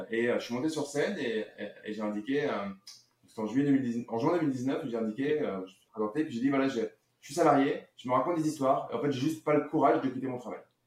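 The speech moves at a fairly quick pace with hardly any pauses, big swings in loudness and ordinary pitch variation. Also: man, fairly high pitch for a man. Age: 40s. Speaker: real estate investor and marketer. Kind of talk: casual interview. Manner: halting, many fillers.

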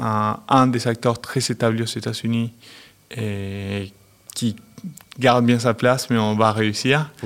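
A man with a Spanish accent speaks in a medium pitch with monotone, flat intonation. His pace is very slow, with long, frequent pauses. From Argentina. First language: Spanish (speaking French). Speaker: company managing director. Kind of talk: interview.

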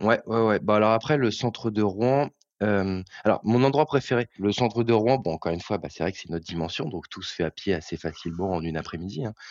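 A man speaks fairly quickly in a fairly low pitch. His intonation is lively, and his loudness swings widely. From Normandy, Eure. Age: young. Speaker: bank employee. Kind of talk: interview. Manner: halting.

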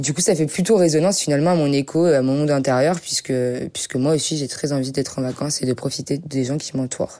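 At a very fast pace, a woman speaks in a very deep, low voice with a dark, mellow tone and fairly even intonation. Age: young. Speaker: singer-songwriter. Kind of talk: interview.

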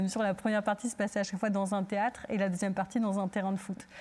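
A woman talks at a very fast pace in a medium pitch. Her voice is somewhat breathy. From Turkey. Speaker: theatre director. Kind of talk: panel discussion.

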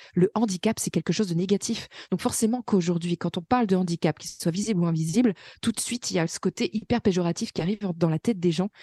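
A woman speaks very fast in a somewhat breathy voice with a dark, mellow tone, medium pitch and ordinary pitch variation, in a dry, close sound with no echo over a quiet background. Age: 20s. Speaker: self-employed worker with fibromyalgia, mother. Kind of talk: interview testimony.

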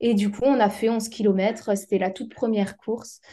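A dark, mellow tone colors a woman's fairly high-pitched voice. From Alsace, France. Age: 20s. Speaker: amateur trail runner and physiotherapist. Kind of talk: casual interview. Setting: remote call with latency.

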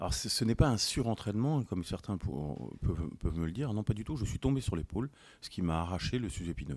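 In a very clean recording with a silent background, a man with vocal fry talks fairly quickly in a fairly low pitch that swings very widely. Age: 40s. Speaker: police officer and former decathlete. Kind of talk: casual chat.

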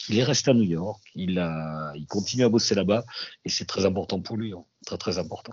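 With a slight southwestern French accent, a man speaks at a moderate pace in a fairly low voice with ordinary pitch variation. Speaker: radio journalist. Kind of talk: interview testimony. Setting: remote link.

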